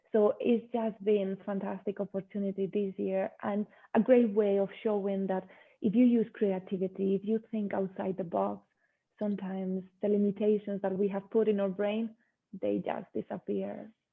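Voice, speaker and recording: A woman's medium-pitched, flat monotone at a moderate pace, with a Spanish accent. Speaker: yoga teacher. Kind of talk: interview.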